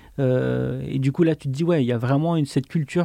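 Dry and close with no echo, a man's dark, mellow voice moves at a fairly quick pace at medium pitch. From France, Auvergne (Le Puy-en-Velay). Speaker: author and illustrator. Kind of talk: casual interview. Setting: studio. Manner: halting, many hesitations.

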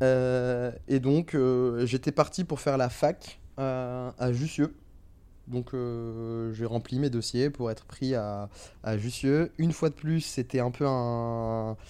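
Dark and mellow, a man's voice sits at medium pitch with fairly even intonation. He speaks at a very slow pace. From Paris region, France (teen years in Algiers). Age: 20s. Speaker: startup investment manager. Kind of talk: casual interview. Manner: hesitant, many repetitions and fillers.

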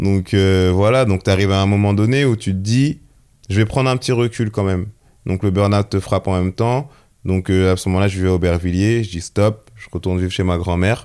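On a very clean recording with a silent background, a man with a plain, everyday voice talks fairly quickly at a fairly low pitch with fairly even intonation. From Seine-et-Marne, France. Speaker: photographer. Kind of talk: casual interview.

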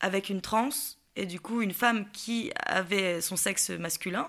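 A woman, medium in pitch, at a moderate pace and with fairly even intonation. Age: 20s. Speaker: actress sharing personal story. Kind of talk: personal testimony interview. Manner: hesitant, many fillers.

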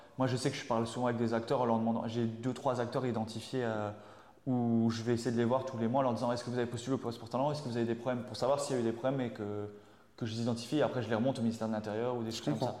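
Very fast and monotone, a man speaks with flat intonation. Audible room echo hangs around the voice. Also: medium pitch for a man. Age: 30s. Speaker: civil servant working on esports projects. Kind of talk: interview. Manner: halting.

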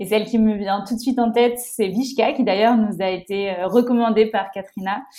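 A woman's flat, monotone delivery at a moderate pace, with noticeable background noise. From France, La Rochelle. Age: 20s. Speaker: environmental association co-founder. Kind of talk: casual interview. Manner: hesitant, frequent repetitions.

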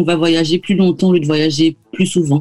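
A woman's dark, mellow voice, fairly low in pitch, with ordinary pitch variation at a moderate pace. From Martinique. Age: 30s. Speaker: travel blogger and podcaster. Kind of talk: radio interview. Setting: video call.

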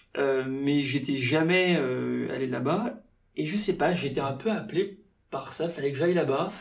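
Against audible room echo, a man talks fairly slowly at a fairly high pitch. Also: ordinary pitch variation. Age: 30s. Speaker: journalist and safari guide. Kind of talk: casual interview. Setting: in-person studio conversation. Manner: halting, many fillers.

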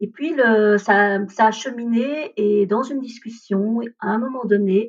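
A woman's fairly high, somewhat breathy voice moves with ordinary pitch variation. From India, raised in Belgium from age 3. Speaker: energy therapist. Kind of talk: interview about personal story. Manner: hesitant, many fillers.

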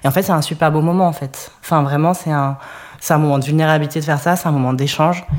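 Someone speaks at a very fast pace over noticeable background noise. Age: 30s. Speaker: web developer, DJ. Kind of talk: testimony.

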